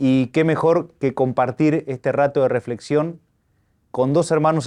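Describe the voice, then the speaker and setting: A man's dark, mellow voice at a moderate pace, fairly even in intonation, with a dry, close sound, no echo, and a quiet background. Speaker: archbishop hosting interview. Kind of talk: interview. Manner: formal.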